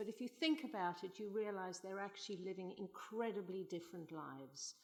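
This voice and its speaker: A woman speaks in a South African accent. Her pace is moderate and her intonation lively. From South Africa, Johannesburg. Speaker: novelist and playwright. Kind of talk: conference panel talk.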